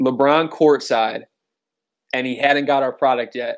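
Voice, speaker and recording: Using an unremarkable speaking voice with an American accent, a man speaks at a moderate pace and medium pitch with fairly even intonation. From Cleveland, Ohio. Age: 20s. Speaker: entrepreneur. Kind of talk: casual chat.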